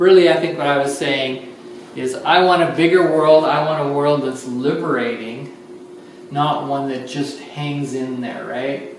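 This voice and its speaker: Over noticeable background noise, a man speaks at a fairly slow pace with medium pitch and ordinary pitch variation. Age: 60s. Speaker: lecturer and artist. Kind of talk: public talk to an audience. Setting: art studio open house with audience.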